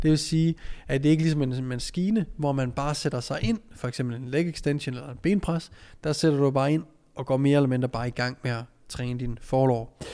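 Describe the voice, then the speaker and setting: On a very clean recording with a silent background, a man with a dark, mellow tone and fairly high pitch speaks at a fairly quick pace, using ordinary pitch variation. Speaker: strength coach and podcast host. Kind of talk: solo podcast monologue. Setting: training gym office.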